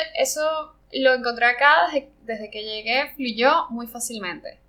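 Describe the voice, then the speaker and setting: A woman's voice at a fairly slow pace. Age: 30s. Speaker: ceramic artist. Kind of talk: interview conversation. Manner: halting, many fillers.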